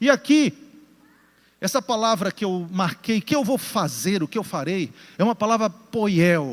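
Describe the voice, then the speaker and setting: In a very clean recording with a silent background and a dry, close sound with no echo, a man with a Pará accent speaks fairly slowly at a high pitch, with lively intonation and long, frequent pauses. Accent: Paraense Brazilian Portuguese. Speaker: pastor. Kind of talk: sermon. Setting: church with congregation, also broadcast.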